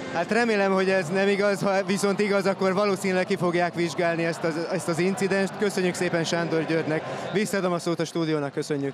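Talking at a very fast pace with hardly any pauses, a man uses a high pitch, fairly even intonation and very even loudness. Noticeable background noise runs underneath. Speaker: pitchside reporter. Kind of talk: interview. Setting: stadium.

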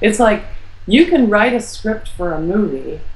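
Audible room echo carries a woman's voice as she speaks at a moderate pace with fairly even intonation. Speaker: near-death experiencer and author; interview guest. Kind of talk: interview. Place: home room.

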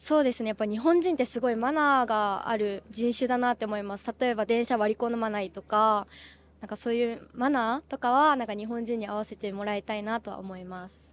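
A woman's normal speaking voice, fairly high in pitch and fairly quick, with ordinary pitch variation, big swings in loudness and a dry sound with no echo. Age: 20s. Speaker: street interviewee; interviewee. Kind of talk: street interview. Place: street. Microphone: handheld.

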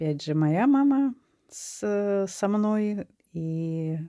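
A woman speaks with lively intonation and a dark, mellow tone. The background is quiet. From Latvia. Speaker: video blogger. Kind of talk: casual monologue showing photos. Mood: warm, nostalgic. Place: home room. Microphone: phone near.

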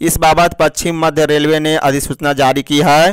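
Speaking at a moderate pace, a man has a fairly high pitch and a clear, smooth tone.

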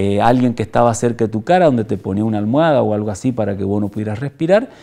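With a dark, mellow tone and lively intonation, a man speaks very fast against a quiet background. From Argentina, Mendoza; Argentina. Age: 60s. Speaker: former political prisoner and human rights activist. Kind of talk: testimony. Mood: grave, reflective.

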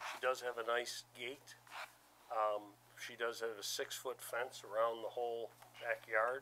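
With light background noise behind him, a man with a bright, sharp tone speaks at a fairly slow pace in a monotone, flat intonation. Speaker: zoning board member. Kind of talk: board deliberation. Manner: halting. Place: meeting room.

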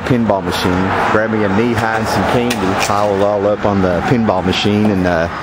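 A man talks at a medium speed while music plays behind him. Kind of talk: casual vlog chat. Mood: nostalgic, relaxed. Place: car. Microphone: phone near.

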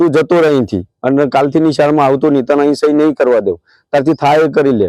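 A man talks in a normal speaking voice. His intonation is fairly even. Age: 50s. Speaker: school teacher. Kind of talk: testimony.

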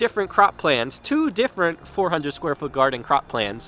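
Faint music plays behind a man talking at a moderate pace, the sound dry with no echo. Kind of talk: casual vlog chat. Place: garden. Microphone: phone near.

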